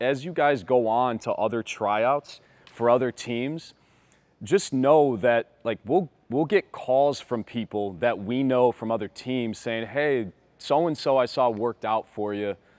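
This man's delivery is fairly slow. There is ordinary variation in his pitch. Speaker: basketball coach. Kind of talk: casual chat and team address. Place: gym. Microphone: lapel.

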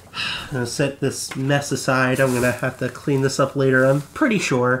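With noticeable background noise behind him, a man talks at a moderate pace in a medium pitch with monotone, flat intonation. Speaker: voice actor; podcast co-host. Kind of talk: casual talk to camera.

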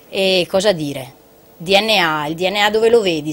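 A woman speaks at a fairly low pitch with ordinary pitch variation. Light background noise is audible. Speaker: triathlete. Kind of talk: casual TV talk show. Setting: TV studio. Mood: reflective, warm. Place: studio. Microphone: lapel.

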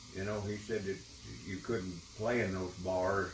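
A man with an Appalachian accent talks at a fairly slow pace, his pitch fairly low. His intonation is monotone and flat, with noticeable background noise behind him. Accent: Appalachian Southern US. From East Tennessee (Unicoi County). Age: 80s+. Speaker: retired guitar player. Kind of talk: reminiscing conversation. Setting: at home. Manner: halting. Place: home room. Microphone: camera far.

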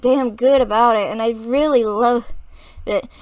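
Fairly slow delivery with ordinary pitch variation against a quiet background. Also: woman. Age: 20s. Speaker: gaming YouTuber. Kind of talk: casual vlog monologue. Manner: halting. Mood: warm, fond, enthusiastic. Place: home room. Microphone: webcam.

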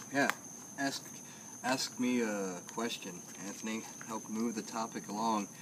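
Speech comes at a fairly slow pace with long, frequent pauses over noticeable background noise. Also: man. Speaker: comedian. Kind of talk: casual chat. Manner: animated. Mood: relaxed, playful. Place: garden.

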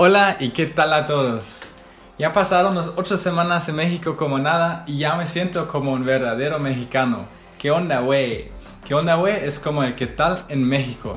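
Faint music plays in the background and room echo is audible as a man talks at a moderate pace, his fairly high pitch showing ordinary variation. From Germany. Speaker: veterinary student and language learner; language learner vlogger. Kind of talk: vlog talk to camera. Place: home room.

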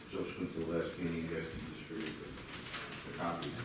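A man speaks at a moderate pace. Audible room echo and noticeable background noise are present. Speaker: lawyer. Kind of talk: public hearing testimony. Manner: loud.

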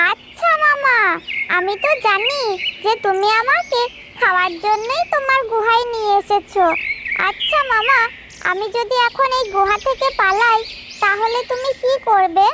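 Pitched extremely high, a cartoonish character voice comes through over loud background noise. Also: fairly slow pace. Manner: calm and polite.

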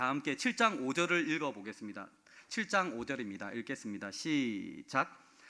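This man has a bright, sharp tone and a fairly high pitch, with very wide pitch swings. He speaks at a very slow pace. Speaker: pastor. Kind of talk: sermon.

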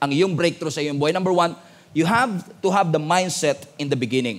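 This man talks in a high pitch. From Philippines. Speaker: pastor. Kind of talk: sermon. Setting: church with congregation. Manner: animated, call-and-response; emphatic, rousing. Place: church. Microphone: headset.

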